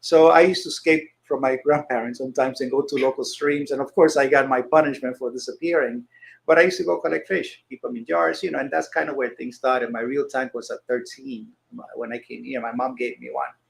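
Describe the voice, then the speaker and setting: A very fast man's voice, fairly high-pitched with vocal fry, ordinary pitch variation and big swings in loudness. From Dominican Republic. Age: 60s. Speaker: emergency and critical care nurse, fishkeeper. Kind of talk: casual chat.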